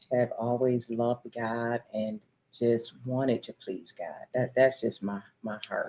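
A woman with an American accent speaks in a very deep, low pitch and a dark, mellow tone, her intonation monotone and flat. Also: fairly slow pace. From Michigan. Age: 50s. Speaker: pastor. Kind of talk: casual chat.

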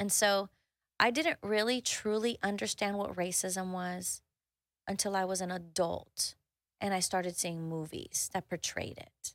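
A woman speaks at a fairly slow pace and a medium pitch with ordinary pitch variation, in a very clean recording with a silent background and a dry, close sound with no echo. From Houston, Texas, Mexican-American family. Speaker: executive coach and author. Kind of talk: casual interview chat. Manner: animated, expressive.

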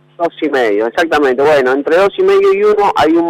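A man's intonation is lively. Noticeable background noise runs underneath. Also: dry, close sound with no echo. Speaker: economist. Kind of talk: interview.

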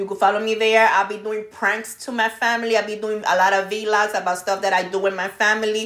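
With hardly any pauses, a woman talks at a fairly quick pace in a monotone, flat intonation. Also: fairly high pitch for a woman. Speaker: podcast host. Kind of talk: casual chat.

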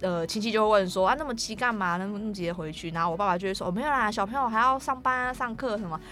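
A woman's fairly high voice at a very fast pace, hardly any pauses, and ordinary pitch variation. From Taiwan, Taoyuan (Daxi). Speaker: film student, Atayal. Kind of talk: interview.

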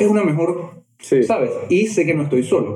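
A man's voice with ordinary pitch variation carries audible room echo. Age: 30s. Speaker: therapist or coach. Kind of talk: casual interview chat.

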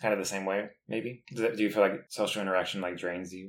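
Very fast and fairly low-pitched, a man talks with an American accent and fairly even intonation. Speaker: podcast co-host, college student. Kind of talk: casual chat.

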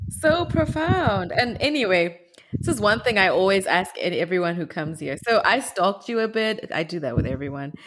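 A woman with a Zimbabwean accent speaks at medium pitch and a moderate pace, her pitch swinging very widely. Noticeable background noise sits behind her. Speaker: podcast host. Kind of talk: interview.

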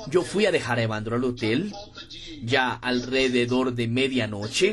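Fairly slow speech from a man, with noticeable background noise behind it. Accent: Portuguese. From Brazil, interior of Pernambuco. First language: Portuguese (speaking Spanish). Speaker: network marketing leader. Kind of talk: motivational talk.

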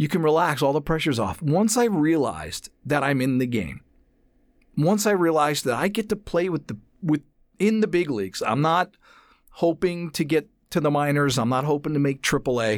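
A man with an American accent and an ordinary speaking voice speaks at a moderate pace with a fairly high pitch and lively intonation, on a very clean recording with a silent background. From New Jersey, US. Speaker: voice actor and casting booth director. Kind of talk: casual interview. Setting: studio.

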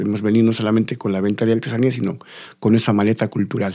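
The recording is very clean, the background silent. A man speaks in a fairly low pitch with a dark, mellow tone. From Bolivia, La Paz. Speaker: folk culture teacher. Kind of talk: interview. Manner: halting, repeating words.

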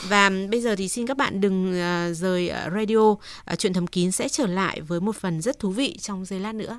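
Here is a woman with an ordinary speaking voice at medium pitch, talking at a moderate pace with ordinary pitch variation. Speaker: radio host. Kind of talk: call-in advice show. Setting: studio. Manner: polite.

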